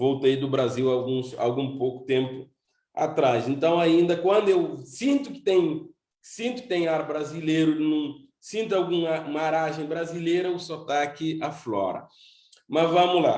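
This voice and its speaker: Audible room echo surrounds a man with fairly high pitch. He speaks at a fairly slow pace with ordinary pitch variation. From Cape Verde, São Nicolau island. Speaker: seminary director and preacher. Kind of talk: sermon. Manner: halting, with repetitions.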